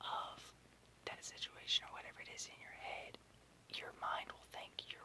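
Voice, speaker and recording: A man whispers at a moderate pace. Noticeable background noise is present. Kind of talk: guided relaxation and sleep tips, ASMR. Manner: casual, conversational, soft-spoken.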